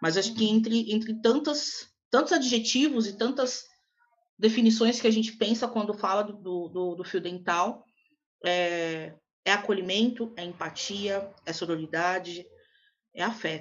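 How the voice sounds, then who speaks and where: A woman speaks at a fairly slow pace in a plain, everyday voice, her medium pitch showing ordinary variation. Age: 20s. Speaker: podcast co-host, Portuguese teacher. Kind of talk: casual chat.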